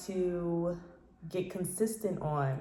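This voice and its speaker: Relaxed in tone, a woman speaks at a fairly low pitch with ordinary pitch variation. The recording carries audible room echo and noticeable background noise. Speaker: independent singer and vlogger. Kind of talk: casual vlog monologue. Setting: home office. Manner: relaxed with many fillers.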